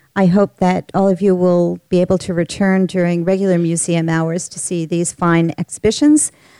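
A woman's dark, mellow tone at a moderate pace, with hardly any pauses, fairly even intonation and a dry, close sound with no echo. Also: very clean recording, silent background. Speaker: museum president introducing an event. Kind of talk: formal welcome speech. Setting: auditorium stage with audience. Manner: formal.

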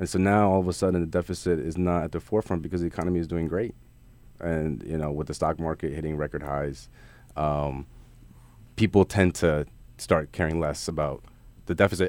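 A man with a very deep, low pitch talks at a fairly quick pace with fairly even intonation and long, frequent pauses. The recording is very clean, with a silent background. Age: young. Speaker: finance professional. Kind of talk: radio interview.

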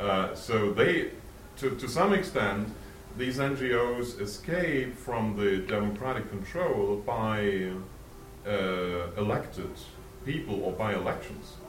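A man with a German accent, fairly low-pitched, with lively intonation, a very slow pace and long, frequent pauses over noticeable background noise. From Germany. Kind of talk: student discussion talk. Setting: room with student audience. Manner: halting.

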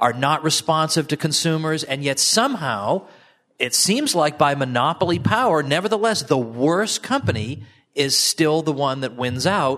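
Here is a man with a plain, everyday voice, pitched fairly high. He talks at a fairly slow pace with lively intonation. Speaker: audience member asking questions. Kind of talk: Q&A. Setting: stage with audience.

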